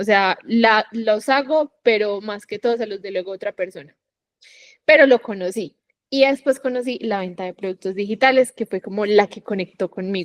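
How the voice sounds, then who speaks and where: In a Medellín accent, a woman with a fairly high pitch and ordinary pitch variation speaks at a moderate pace, her loudness swinging widely, in a dry, close recording with no echo. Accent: Colombian Paisa (Medellín) Spanish. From Colombia, Medellín. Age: 20s. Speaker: digital entrepreneur, affiliate marketer. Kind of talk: podcast interview.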